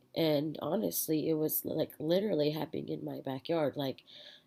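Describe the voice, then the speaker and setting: A woman speaks with an American accent and vocal fry. Her pitch is very deep and low, and her intonation is fairly even. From US Southwest border region. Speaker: student. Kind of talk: class presentation. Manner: halting, many filler words.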